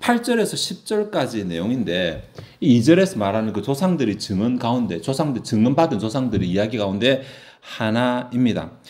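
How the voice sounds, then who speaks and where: A medium-pitched male voice with very wide pitch swings, amid audible room echo. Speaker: pastor. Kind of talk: sermon. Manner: fast.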